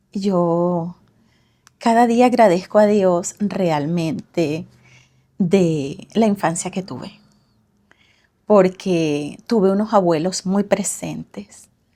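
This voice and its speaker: At a very slow pace with long, frequent pauses, a woman speaks in a dark, mellow tone at a medium pitch. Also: ordinary pitch variation. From Venezuela. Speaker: parenting coach. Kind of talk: casual interview.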